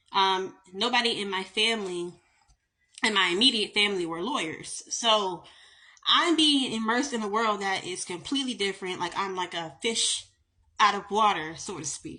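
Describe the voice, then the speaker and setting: Against a quiet background, a woman with a Southern US accent speaks at a moderate pace, with a bright, sharp tone and lively intonation. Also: medium pitch for a woman. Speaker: attorney. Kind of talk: casual storytime monologue.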